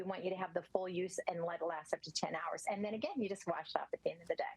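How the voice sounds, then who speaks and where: A woman talks at a very fast pace. Noticeable background noise runs behind her. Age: 60s. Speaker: skincare product representative. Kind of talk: sales pitch.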